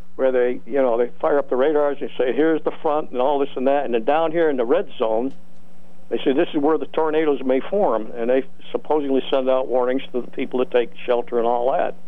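Fairly quick speech with fairly even intonation and audible room echo. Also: man, medium pitch for a man. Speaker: writer and veterans advocate. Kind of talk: radio interview.

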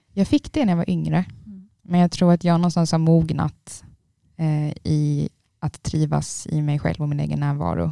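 The recording sounds dry and close, without any echo. A woman talks at a moderate pace. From Trelleborg, Skåne. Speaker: university student. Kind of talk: casual chat.

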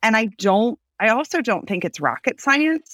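A loud woman's voice, dry and close with no echo. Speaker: business owner. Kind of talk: casual interview. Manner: loud, extroverted talker.

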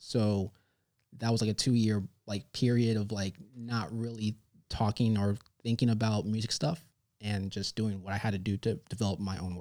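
With an American accent, a man speaks at a fairly low pitch in a dark, mellow tone with fairly even intonation at a moderate pace. His pauses are long and frequent, and the recording is very clean with a silent background. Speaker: visual artist. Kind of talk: interview. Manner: soft-spoken.

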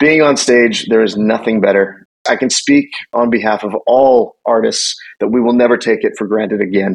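The speaker talks at a moderate pace with a Canadian accent. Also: man. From western Canada. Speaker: country singer-songwriter. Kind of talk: interview.

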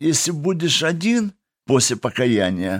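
A man speaking at a very slow pace in a very clean recording with a silent background. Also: dry, close sound with no echo. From Kazakhstan (Russian-German family). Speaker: prison and addiction ministry worker. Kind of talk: testimony. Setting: studio.

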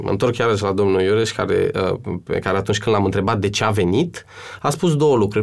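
This is a man speaking. His intonation is lively. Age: 30s. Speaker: actor and cultural manager. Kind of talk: interview. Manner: hesitant.

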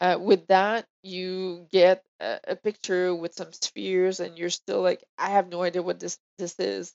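A woman talks at a fairly slow pace with hardly any pauses. Her intonation is monotone and flat, while her loudness swings widely. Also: medium pitch for a woman. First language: French. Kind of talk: casual chat.

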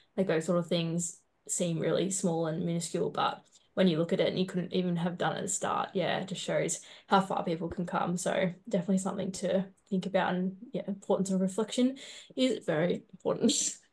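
A woman talks at a fairly quick pace with a medium pitch. Her intonation stays fairly even, and her voice is somewhat breathy. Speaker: podcast co-host. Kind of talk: interview.

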